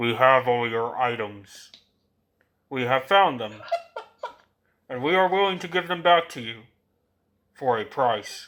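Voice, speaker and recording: A man uses a loud, booming, put-on character voice at a medium pitch with lively intonation. He goes at a fairly slow pace with long, frequent pauses. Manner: booming, loud and commanding.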